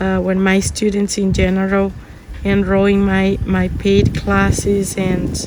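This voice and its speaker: Over noticeable background noise and audible room echo, a woman talks at a very slow pace. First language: Spanish. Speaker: art teacher. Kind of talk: tutorial. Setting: outdoors or open home, windy. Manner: halting, many fillers.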